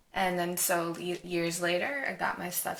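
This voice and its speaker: A woman's fairly low-pitched voice amid audible room echo and noticeable background noise. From Rhode Island. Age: 30s. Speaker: nursing student, fitness client. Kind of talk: casual interview.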